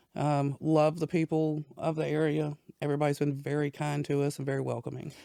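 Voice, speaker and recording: A woman with an American accent, her very deep, low pitch and dark, mellow tone kept monotone and flat at a fairly quick pace. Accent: little Southern twang, family worked it out. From Southern Virginia (Danville). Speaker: business owner. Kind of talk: interview. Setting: studio.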